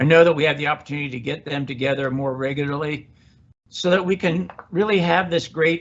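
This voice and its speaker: A man talks at a fairly quick pace, his fairly high voice showing ordinary pitch variation. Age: 60s. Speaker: university president. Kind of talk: Q&A session. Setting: campus event. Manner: halting.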